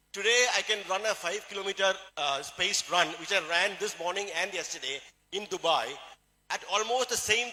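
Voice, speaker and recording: A man talks at a fairly quick pace with a Keralan accent. His pitch is high, with ordinary pitch variation. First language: Malayalam. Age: 60s. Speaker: doctor and supplement seller. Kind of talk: motivational sales talk.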